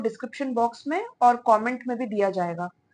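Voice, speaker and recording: High pitch from a woman, with ordinary pitch variation and a moderate pace. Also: quiet background. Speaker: tarot reader. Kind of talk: tarot reading to camera. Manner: hesitant fillers.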